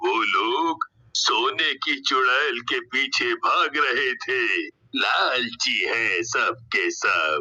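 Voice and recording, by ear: Cartoonish character voice from a man at a very slow pace.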